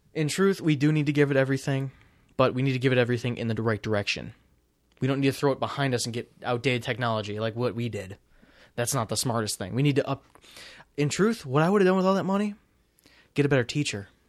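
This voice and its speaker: With an animated tone, a man talks at a very fast pace between long, frequent pauses, in a very clean recording with a silent background. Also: medium pitch for a man, lively intonation. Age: 20s. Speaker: podcast co-host and college student. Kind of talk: casual chat. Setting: home recording.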